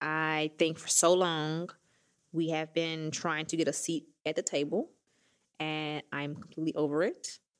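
A woman with a Southern US accent talks at a fairly slow pace in a very deep, low voice with monotone, flat intonation. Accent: Southern US, country. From Mississippi, US South. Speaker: fintech founder and CEO. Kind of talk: casual interview chat. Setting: studio.

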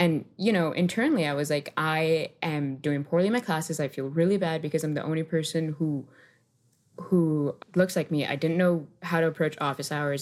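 Over a silent background in a very clean recording, a woman talks at a fairly quick pace with a very deep, low pitch and fairly even intonation. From Miami, Florida (West Kendall). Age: 20s. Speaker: software engineer. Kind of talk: interview.

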